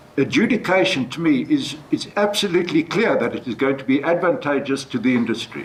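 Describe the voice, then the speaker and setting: The speaker moves at a fairly quick pace with hardly any pauses and very wide pitch swings, over noticeable background noise. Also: man. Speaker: judge. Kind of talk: panel discussion. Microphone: speaking without a microphone.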